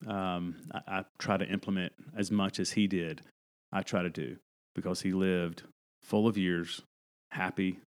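Spoken with an American accent, the words come at a moderate pace with fairly even intonation. Long pauses come often, and the recording is very clean with a silent background. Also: man, very deep, low pitch for a man. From North Carolina mountains, US South. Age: 40s. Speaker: pastor. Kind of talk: casual chat.

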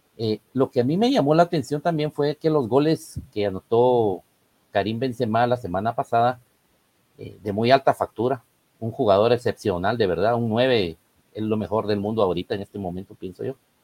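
The man has an ordinary speaking voice at a medium pitch. He talks at a moderate pace with ordinary pitch variation. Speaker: football pundit. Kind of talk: casual chat.

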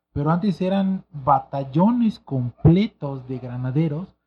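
A somewhat breathy man speaks with lively intonation. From Mexico City, Santa María de la Ribera. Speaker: music events expert. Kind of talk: casual chat.

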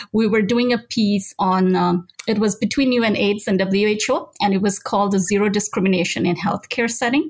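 The woman's voice is somewhat breathy and sits at a medium pitch. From Nigeria. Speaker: health and human rights lawyer. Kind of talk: interview.

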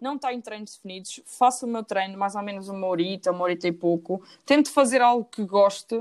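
A woman speaks at medium pitch and a fairly quick pace, with hardly any pauses. Hers is an ordinary speaking voice. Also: ordinary pitch variation. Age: 20s. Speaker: engineering student. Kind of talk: casual interview.

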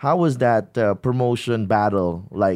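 His voice sits at a medium pitch. The man's pitch moves up and down in a normal way. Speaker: podcast host. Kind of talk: casual interview. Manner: halting, with many fillers.

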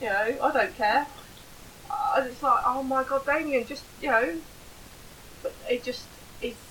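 A high-pitched woman's voice with very wide pitch swings, long, frequent pauses, a moderate pace and noticeable background noise. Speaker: podcast co-host and mother.

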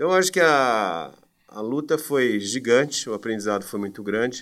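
In a very clean recording with a silent background, a man with an ordinary speaking voice talks at a medium pitch and fairly slow pace, his intonation lively. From Brazil, Campinas (São Paulo state). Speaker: education marketing entrepreneur. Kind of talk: interview.

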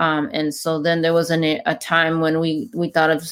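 A woman speaks in a normal speaking voice at a fairly low pitch and moderate pace. The recording is very clean, with a silent background. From Mexico, raised in California Bay Area. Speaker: podcast host. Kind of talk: casual podcast conversation.

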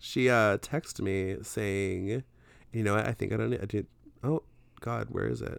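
In an ordinary speaking voice, a man talks fairly slowly with fairly low pitch and lively intonation. The recording is very clean, dry and close, with a silent background and no echo. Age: 20s. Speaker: podcast co-host. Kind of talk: casual chat.

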